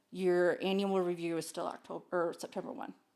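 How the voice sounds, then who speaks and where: A woman with an unremarkable speaking voice, medium pitch and fairly even intonation, in a very clean recording with a silent background. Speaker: special education parent advocate. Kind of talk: casual chat.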